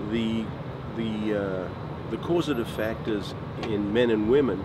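Over loud background noise, a man speaks at a fairly slow pace in a dry sound with no echo. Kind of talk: interview answer. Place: street.

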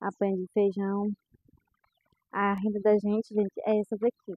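Against a quiet background, a woman speaks at a moderate pace with medium pitch. The sound is dry, with no echo. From Brazil, Ceará interior (Limoeiro do Norte). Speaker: rural farmer vlogger. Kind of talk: casual vlog walkthrough. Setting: outdoors on a farm. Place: farm machine. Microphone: phone near.

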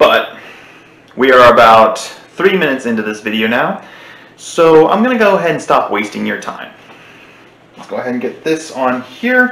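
Audible room echo surrounds a man who talks at a moderate pace, leaving long, frequent pauses. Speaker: gaming channel host. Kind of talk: casual vlog chat. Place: home room. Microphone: webcam.

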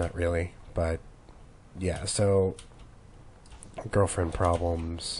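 A man's very deep, low, somewhat breathy voice at a very slow pace with monotone, flat intonation. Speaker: gamer. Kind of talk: let's play commentary. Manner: casual, rambling.

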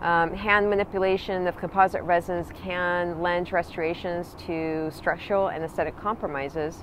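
With a dry sound and no echo, a woman speaks in a fairly low pitch and fairly even intonation over light background noise. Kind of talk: prepared promotional talk. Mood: calm and friendly. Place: waterside. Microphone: phone near.

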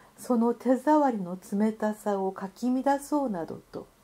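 A woman talks in a dark, mellow, somewhat breathy tone. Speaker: narrator. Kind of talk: literary essay reading.

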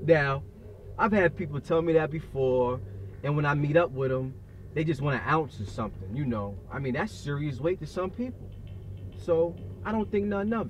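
A somewhat breathy man speaks at a moderate pace with very wide pitch swings and long, frequent pauses. The sound is dry with no echo, over light background noise. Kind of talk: dramatic storytelling monologue. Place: car.

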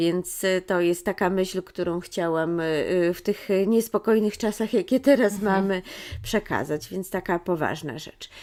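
The woman's pitch is medium and varies in an ordinary way. She talks at a fairly slow pace. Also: big swings in loudness. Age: 40s. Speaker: children's book author. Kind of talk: interview. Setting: bookshop. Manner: halting.

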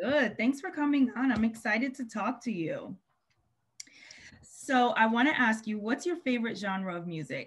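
Delivery is moderately paced, with lively intonation. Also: woman, fairly high pitch for a woman. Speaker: podcast host. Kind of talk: podcast interview host. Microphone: webcam.

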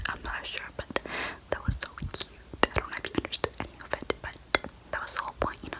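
A woman whispering in a gentle tone at a fairly quick pace. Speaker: storyteller. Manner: gentle whispered aside, smiling. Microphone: phone near.

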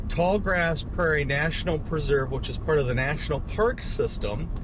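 Noticeable background noise sits behind the man's voice. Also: dry sound with no echo. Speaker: photography vlogger. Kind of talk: casual vlog chat. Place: car. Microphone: camera far.

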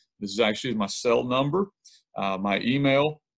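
This man has a Southern US accent and a medium pitch. He talks fairly quickly, with ordinary pitch variation. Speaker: high school football coach. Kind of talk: coaching clinic presentation.

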